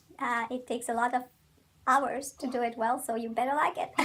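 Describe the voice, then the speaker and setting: A fairly quick delivery in a Walloon accent. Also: woman. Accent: French-speaking Belgian. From Belgium. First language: French. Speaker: criminal defense attorney. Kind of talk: interview. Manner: hesitant, many fillers.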